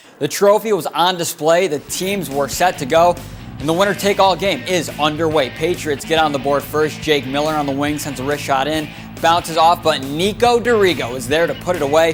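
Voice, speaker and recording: Music plays in the background while a man talks at a fairly quick pace. His pitch is fairly high, with ordinary pitch variation. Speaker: sports anchor and reporter. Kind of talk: sports broadcast reel, game recaps and highlight narration.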